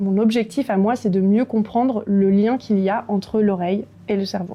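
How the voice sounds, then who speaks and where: Against noticeable background noise, a woman talks at a moderate pace and medium pitch. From France, Bresse (Ain). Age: 30s. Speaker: neuroscience researcher. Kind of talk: prepared video testimony. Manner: hesitant, frequent fillers.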